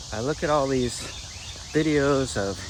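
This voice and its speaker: Noticeable background noise surrounds a man who speaks at a fairly slow pace. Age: 60s. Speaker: fitness vlogger. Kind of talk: casual talk to camera.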